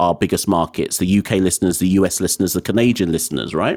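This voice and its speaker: A man with a very deep, low pitch is heard in a dry, close sound with no echo. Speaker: cricket podcaster and pundit. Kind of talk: casual interview. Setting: remote call.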